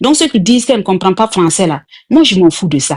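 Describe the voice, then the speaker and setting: A woman speaks at a medium pitch with very wide pitch swings. Her voice is somewhat breathy. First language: not French (speaking French). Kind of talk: heated debate.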